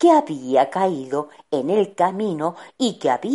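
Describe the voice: A plain read-aloud delivery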